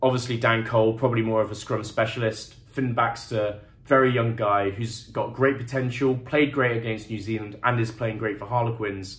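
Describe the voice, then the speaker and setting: A somewhat breathy man with an English accent speaks at a medium pitch and a moderate pace in a monotone, flat intonation, with audible room echo. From England. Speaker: rugby commentator. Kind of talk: solo game review monologue. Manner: casual, conversational.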